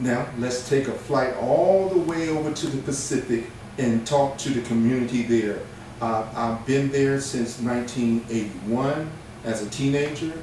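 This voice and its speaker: Medium-pitched male speech with ordinary pitch variation, audible room echo and noticeable background noise. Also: moderate pace. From Hawaii (Oahu), born in Virginia. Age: 60s. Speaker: interviewer, military veteran. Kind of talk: interview.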